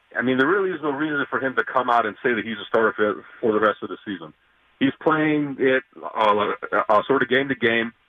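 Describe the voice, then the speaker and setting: Here a man with a normal speaking voice talks at a fairly quick pace. His medium-pitched delivery has lively intonation. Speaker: caller. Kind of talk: casual sports talk. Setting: phone call.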